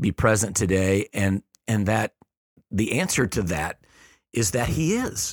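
Pausing long and often, a man with a fairly low pitch speaks at a fairly slow pace with very even loudness and ordinary pitch variation, recorded very cleanly against a silent background with a dry, close sound and no echo. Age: 50s. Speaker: pastor. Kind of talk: casual chat. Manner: halting.

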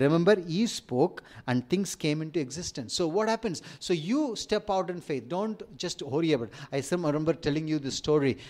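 In a very clean recording with a silent background, a man with an Indian accent talks at a moderate pace, his fairly high pitch carried by lively intonation. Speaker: preacher. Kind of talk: sermon. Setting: church.

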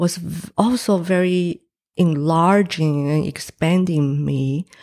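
A woman with a Chinese accent speaks very slowly at a fairly low pitch, her tone dark and mellow. Her pitch varies an ordinary amount, and the recording is very clean with a silent background. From Taiwan. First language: Mandarin Chinese. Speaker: painter, former film director. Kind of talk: interview. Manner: hesitant, many fillers.

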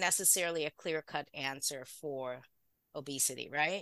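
A woman speaks at a moderate pace in a bright, sharp tone. The sound is dry and close with no echo, against a quiet background. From Caribbean. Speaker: physician. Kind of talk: interview. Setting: video call.

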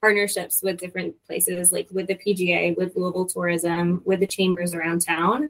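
With an American accent, a woman talks at a moderate pace in a medium pitch and fairly even intonation. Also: hardly any pauses. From Michigan. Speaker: venue operations manager. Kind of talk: interview. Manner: hesitant fillers.

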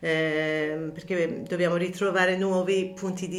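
A woman speaks slowly-ish in a fairly low voice, her intonation monotone and flat. Audible room echo and noticeable background noise surround her. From Iran, Tehran. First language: Persian (speaking Italian). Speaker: counselor. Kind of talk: interview. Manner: halting, many fillers.

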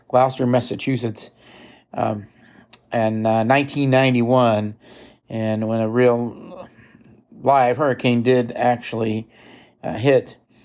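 A man with a medium-pitched voice talks at a very slow pace with long, frequent pauses and fairly even intonation. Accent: Midwestern. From US Midwest. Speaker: podcast host. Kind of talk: casual monologue. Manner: halting, many fillers.

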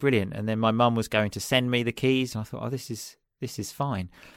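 Medium-pitched man with a southern English accent at a fairly quick pace, in a very clean recording with a silent background. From southeast England, Chelmsford. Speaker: English teacher and podcaster. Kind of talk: casual chat.

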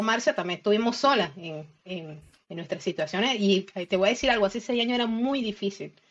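Here is an ordinary speaking voice at a moderate pace with ordinary pitch variation. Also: woman. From Venezuela, Isla de Margarita. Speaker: systems engineer and cloud security expert. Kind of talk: casual interview.

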